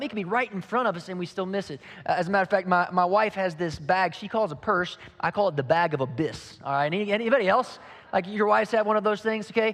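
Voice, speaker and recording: This man talks very fast with a Southern US accent. His pitch is high, with ordinary variation. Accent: Southern twang. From Kentucky. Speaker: pastor. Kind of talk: sermon. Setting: church with audience.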